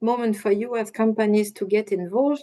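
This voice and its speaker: A woman with a French accent speaks at a fairly high pitch in a dark, mellow tone. Her intonation stays fairly even. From France. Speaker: industry association policy manager. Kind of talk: webinar presentation. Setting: online webinar.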